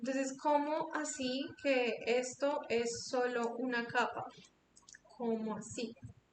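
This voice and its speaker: A woman speaks at a very slow pace with a high pitch and fairly even intonation. Audible room echo and noticeable background noise surround her voice. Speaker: After Effects instructor. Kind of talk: online tutorial.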